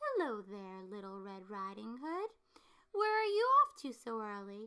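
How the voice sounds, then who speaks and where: Putting on a character voice, a woman speaks at a moderate pace with a fairly high pitch. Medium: read story. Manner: crafty, smooth.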